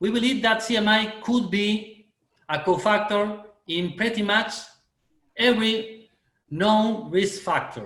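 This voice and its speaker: A man with a Spanish accent and a high pitch, fairly even intonation, long frequent pauses, and audible room echo. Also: fairly slow pace. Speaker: oral medicine lecturer. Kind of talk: webinar Q&A answer. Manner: halting.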